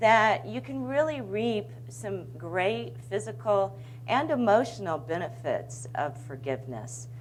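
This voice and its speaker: With a very deep, low voice, a woman speaks at a fairly slow pace with lively intonation. Room echo is audible. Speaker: broadcast journalist and mediator. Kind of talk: presentation. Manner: loud.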